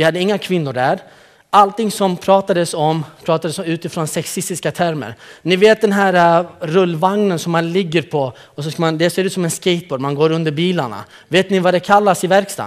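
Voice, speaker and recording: A man with a high pitch and ordinary pitch variation at a fairly quick pace, over a quiet background. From Kurdistan, northern Iraq; raised in Malmö, Sweden from age 12; Iraq. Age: 30s. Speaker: youth program leader. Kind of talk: conference talk. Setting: stage with audience. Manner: animated, joking. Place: hall. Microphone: podium.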